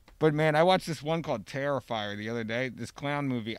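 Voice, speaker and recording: With a plain, everyday voice, a man speaks at a fairly high pitch and a fairly quick pace with lively intonation on a very clean recording with a silent background. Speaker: podcast host. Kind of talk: casual chat. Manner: joking.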